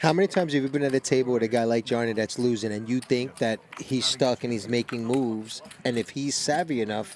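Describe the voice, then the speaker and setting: In a Brooklyn accent, the voice races along at a very fast pace with hardly any pauses and ordinary pitch variation. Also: man, medium pitch for a man. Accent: New York (Brooklyn). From Brooklyn, New York. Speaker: poker commentator. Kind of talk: live commentary. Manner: animated.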